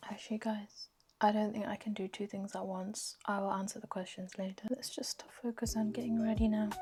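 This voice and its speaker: A woman speaks at a fairly quick pace in a fairly high pitch, her intonation monotone and flat, with noticeable background noise behind her. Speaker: lifestyle vlogger. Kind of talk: casual vlog chat. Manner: whispering.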